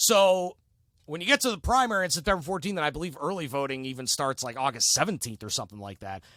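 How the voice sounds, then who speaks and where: Speaking very fast and loud with an American accent, a man with a fairly high pitch and a bright, sharp tone swings his pitch very widely on a very clean recording with a silent background. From northeast Ohio, Cleveland area. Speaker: sports radio host and city council candidate. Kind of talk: casual interview chat.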